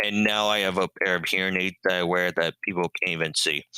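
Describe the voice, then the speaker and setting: Recorded dry and close with no echo, a man with a very deep, low pitch talks at a moderate pace in a bright, sharp tone with monotone, flat intonation. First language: sign language. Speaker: deaf-blind educator and marathoner. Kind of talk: interview. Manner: many filler ums.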